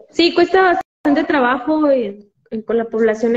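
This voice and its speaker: A woman with a Mexican accent, at a fairly slow pace. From Mexico, Jalisco. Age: 20s. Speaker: physiotherapist. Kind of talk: interview.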